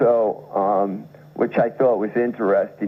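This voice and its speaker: A man with an unremarkable speaking voice and an American accent talks at a fairly slow pace with a medium pitch. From New York. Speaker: writer, poet and musician. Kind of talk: radio interview answer. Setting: radio studio.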